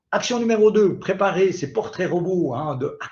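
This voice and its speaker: A man with a Swiss accent speaks at a moderate pace. His pitch is high. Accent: Swiss French, noticeable. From Switzerland. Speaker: digital marketing expert. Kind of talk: webinar presentation. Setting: online webinar. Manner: animated.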